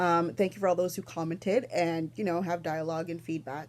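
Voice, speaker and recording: Speaking with a Canadian accent is a woman. Her pitch is fairly low. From Toronto, Canada. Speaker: knitting podcaster. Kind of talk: casual vlog chat. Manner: fast.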